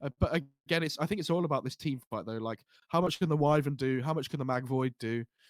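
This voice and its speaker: A man with an English accent speaks very fast at a fairly high pitch, with ordinary pitch variation and a dry, close sound with no echo. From England. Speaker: esports commentator. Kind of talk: live commentary.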